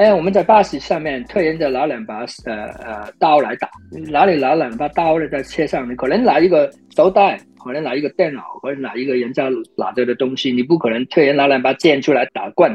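A man's fairly quick, lively-intoned delivery. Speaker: film action choreographer. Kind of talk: interview. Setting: remote call.

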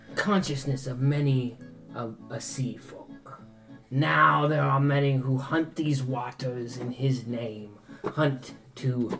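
A put-on character voice with low-to-middle pitch, delivered at a very slow pace. Clear music plays in the background. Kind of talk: pirate-style storytelling. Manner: boastful, theatrical, salty "aye" speech.

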